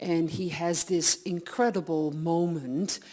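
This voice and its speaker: This woman has a fairly low pitch and speaks with a Dutch accent. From Netherlands. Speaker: audiologist. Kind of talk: lecture. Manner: animated.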